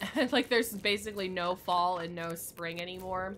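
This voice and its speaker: With an American accent, a woman speaks at medium pitch and a moderate pace. Her tone is bright and sharp, with fairly even intonation. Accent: regional American. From United States. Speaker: gaming streamer. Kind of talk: casual chat.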